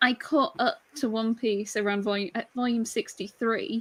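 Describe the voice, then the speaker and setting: A woman speaks with a British accent. Her pitch is fairly high and her pace moderate. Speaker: manga collector YouTuber. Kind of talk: casual chat.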